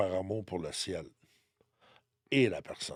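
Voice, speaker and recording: Fairly slow speech from a man, ordinary pitch variation, dry, close sound with no echo. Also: very clean recording, silent background. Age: 60s. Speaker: numerologist and spiritual guide. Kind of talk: podcast interview, personal testimony.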